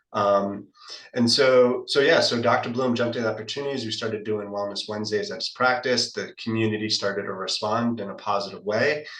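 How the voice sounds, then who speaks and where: A man speaks with an American accent at a fairly quick pace and fairly even intonation. Background noise is noticeable. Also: medium pitch for a man. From US South, Florida (Boca Raton). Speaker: wellness business co-founder. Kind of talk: interview conversation. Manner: halting with repetitions.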